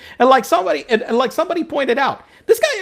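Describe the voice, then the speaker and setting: A man speaks at a very fast pace. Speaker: political podcast co-host. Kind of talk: casual political chat. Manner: animated, halting with repetitions.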